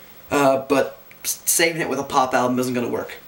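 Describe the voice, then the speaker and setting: A man talks at a medium pitch, with noticeable background noise in the recording. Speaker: music reviewer. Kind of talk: album review vlog. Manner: animated.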